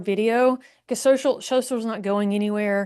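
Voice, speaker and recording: With a strong Southern US accent, a woman talks in a dark, mellow tone against a quiet background. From Alabama, US South. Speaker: marketing agency founder. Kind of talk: podcast interview. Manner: conversational.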